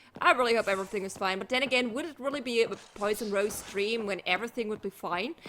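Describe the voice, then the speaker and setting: A woman's raised, projected voice at a very fast pace. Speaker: gaming streamer. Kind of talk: live stream game commentary. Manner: casual, chatty.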